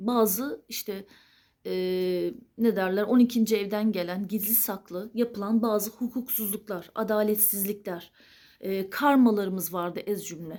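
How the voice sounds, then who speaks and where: A woman's dark, mellow voice moves at a fairly slow pace. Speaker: astrology video creator. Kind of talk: solo monologue to camera. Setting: at home late at night.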